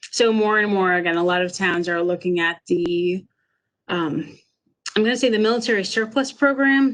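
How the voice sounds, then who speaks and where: In a normal speaking voice, a woman talks at medium pitch and a moderate pace with ordinary pitch variation against a quiet background. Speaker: emergency manager. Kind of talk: webinar presentation. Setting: online webinar.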